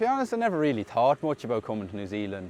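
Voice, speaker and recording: A man speaks with a western Irish accent. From Ireland, County Mayo. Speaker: tractor driver. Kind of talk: interview.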